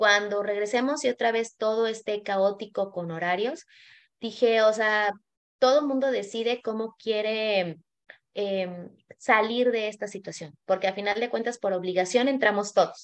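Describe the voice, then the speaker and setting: A woman at a fairly high pitch, moderate pace and ordinary pitch variation. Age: 40s. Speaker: image consultant. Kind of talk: casual chat. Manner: animated.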